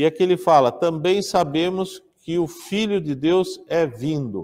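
A man's dark, mellow tone comes through with a quiet background behind him. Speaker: pastor teaching Bible class. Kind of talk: lecture. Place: hall. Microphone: lapel.

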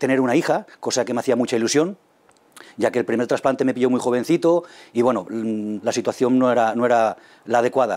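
Moderate pace, dark and mellow tone, ordinary pitch variation. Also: man. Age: 40s. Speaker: kidney transplant patient. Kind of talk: testimony. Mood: calm, grateful. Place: meeting room. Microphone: lapel.

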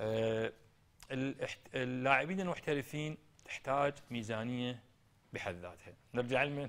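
A man with an Iraqi accent at medium pitch, ordinary pitch variation, a fairly slow pace and long, frequent pauses. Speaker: football coach and former player; football coach. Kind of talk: TV interview. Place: studio.

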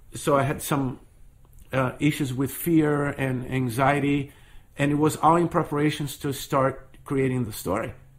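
Speaking in a Portuguese accent, a man uses a fairly high pitch. His intonation is fairly even and his pace fairly slow. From Brazil, Rio de Janeiro. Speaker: storyteller. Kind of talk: interview.

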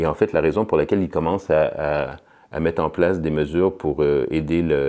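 The background is quiet. A man speaks at a fairly quick pace. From Quebec, Montreal. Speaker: political science professor; political science professor, interviewee. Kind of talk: interview. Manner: halting, with many repetitions and fillers. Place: studio.

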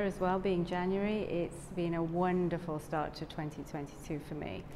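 A woman with a Welsh accent and a fairly low pitch speaks at a very slow pace over light background noise. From South Wales. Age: 50s. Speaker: yoga teacher trainee. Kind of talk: testimony. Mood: warm, grateful, smiling. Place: studio. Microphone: lapel.

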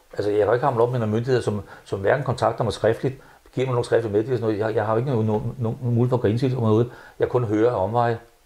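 Monotone, flat intonation from a man, somewhat breathy, with a dark, mellow tone. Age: 70s. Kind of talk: interview. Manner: halting, many repetitions. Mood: frustrated, earnest. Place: home room. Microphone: lapel.

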